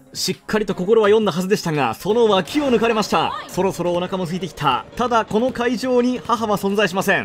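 High male voice at a fairly quick pace with hardly any pauses and ordinary pitch variation, music playing in the background. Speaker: former TV announcer, esports caster and YouTuber. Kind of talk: sports play-by-play commentary with comedic asides. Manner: crisp, fast, professional announcer delivery.

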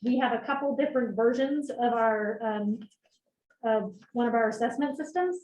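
A woman speaks in an unremarkable speaking voice at a fairly high pitch, with ordinary pitch variation. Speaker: school administrator presenting budget. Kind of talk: board meeting budget presentation.

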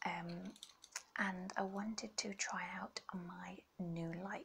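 A woman's voice over light background noise. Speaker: ASMR creator. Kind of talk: ASMR video. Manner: whispered.

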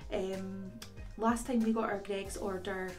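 Over faint music in the background, a woman speaks with monotone, flat intonation. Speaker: food review vlogger. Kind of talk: casual vlog chat. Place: home room. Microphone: phone near.

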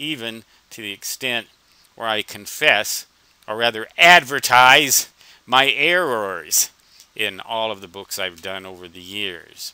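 Speaking at a fairly slow pace, a man uses lively intonation and a bright, sharp tone, with big swings in loudness in a dry sound with no echo. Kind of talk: screen-recording walkthrough narration. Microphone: headset.

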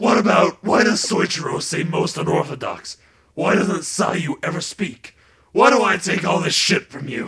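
A raspy, high-pitched put-on character voice from a man, at a moderate pace. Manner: petulant.

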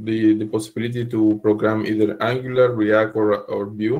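A man's monotone, flat delivery over a quiet background. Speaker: meetup attendee. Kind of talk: Q&A; discussion answer. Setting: video call. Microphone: video call.

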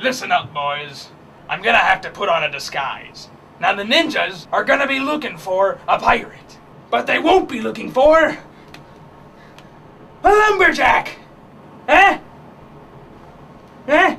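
In a put-on character voice, a man speaks at an extremely high pitch and a moderate pace, broken by long, frequent pauses. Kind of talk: comic overacting. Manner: blustery, commanding, melodramatic.

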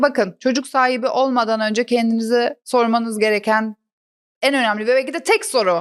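On a very clean recording with a silent background, a woman speaks with a high pitch. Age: 40s. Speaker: comedian. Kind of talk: casual chat; scripted narration.

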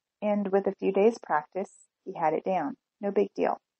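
A woman talks at a moderate pace with vocal fry and a dark, mellow tone. The sound is dry and close, with no echo.

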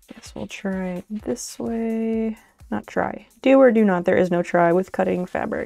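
The speaker is soft-spoken, with a dark, mellow tone, ordinary pitch variation, big swings in loudness and a fairly slow pace. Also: woman, medium pitch for a woman. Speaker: streamer sewing live. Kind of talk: casual live-stream chat while crafting. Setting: live stream.

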